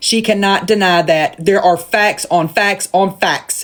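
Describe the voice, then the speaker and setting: A woman in a Southern US accent talks at a moderate pace with a medium pitch and ordinary pitch variation. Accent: Southern twang. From US South. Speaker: live streamer. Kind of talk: rant. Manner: animated.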